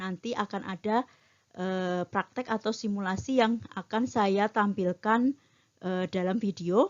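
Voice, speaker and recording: The woman's pitch is medium, with ordinary variation. She talks at a very slow pace. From Bantul, Yogyakarta, Java, Indonesia. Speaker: metrology trainer. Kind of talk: lecture. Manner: frequent filler hesitations.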